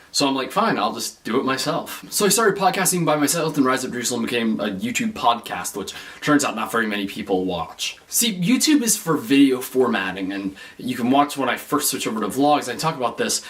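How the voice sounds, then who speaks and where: Against noticeable background noise, the speaker moves at a fairly quick pace with hardly any pauses and very wide pitch swings. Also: man, medium pitch for a man. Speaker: vlogger. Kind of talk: casual vlog monologue. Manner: loud; animated.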